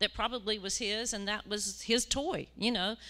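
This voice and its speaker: On a very clean recording with a silent background, a woman with a West Virginia accent speaks in a bright, sharp tone with fairly even intonation. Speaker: church mission team member. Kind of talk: testimony. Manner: halting, many fillers.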